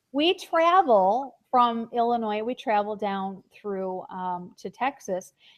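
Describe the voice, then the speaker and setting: Speaking very slowly with hardly any pauses, a woman uses lively intonation at a fairly high pitch. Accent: Buffalo. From Buffalo, New York. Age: 40s. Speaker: online show host. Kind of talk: casual chat. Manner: halting.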